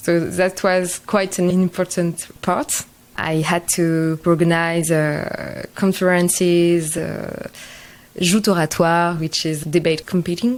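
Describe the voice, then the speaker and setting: A woman's fairly low, flat monotone voice at a very slow pace. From France. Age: 20s. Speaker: social entrepreneur. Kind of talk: podcast interview. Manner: halting.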